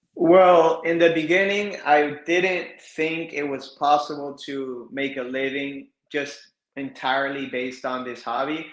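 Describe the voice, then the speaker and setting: There is audible room echo as someone with an American accent talks at a fairly slow pace. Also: man, fairly high pitch for a man, fairly even intonation. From South Florida. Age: 30s. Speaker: reptile breeder. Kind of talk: podcast interview.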